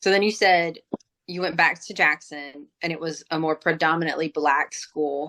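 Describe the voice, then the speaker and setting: A woman with an American accent speaks in a very deep, low voice with a bright, sharp tone, at a fairly slow pace with fairly even intonation and long, frequent pauses, in a dry, close sound with no echo. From South Alabama and South Louisiana, US South. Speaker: podcast host, teacher. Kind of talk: casual interview.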